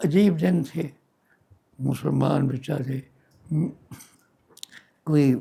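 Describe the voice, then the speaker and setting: Dark, mellow tone and a somewhat breathy quality in a male voice. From Dera Ghazi Khan, Pakistan. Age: 80s+. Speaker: retired physician. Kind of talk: oral history interview answer.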